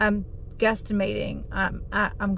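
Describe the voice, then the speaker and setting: A somewhat breathy woman's voice, monotone and flat in intonation, with a dry, echo-free sound and light background noise. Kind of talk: casual vlog chat. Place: car. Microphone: phone near.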